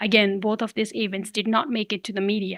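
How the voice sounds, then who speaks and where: Woman with a Nepalese accent on a very clean recording with a silent background. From Limi Valley, Humla, northwestern Nepal. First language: Limi. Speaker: youth climate activist. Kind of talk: podcast interview.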